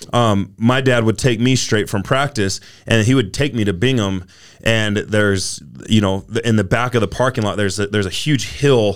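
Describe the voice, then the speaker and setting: Speaking with a Utah accent, a man has a fairly low pitch with ordinary variation. He keeps a moderate pace. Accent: American (Utah). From Utah, US. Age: 30s. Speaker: former college football player and gym owner. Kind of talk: casual interview chat.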